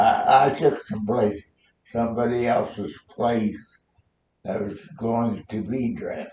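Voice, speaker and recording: Somewhat breathy, a man talks at a very slow pace and medium pitch with ordinary pitch variation. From Nebraska. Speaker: war veteran. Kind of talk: interview answer.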